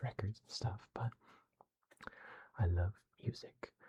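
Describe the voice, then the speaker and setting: A man is whispering. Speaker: ASMR creator. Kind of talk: ASMR casual chat. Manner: halting.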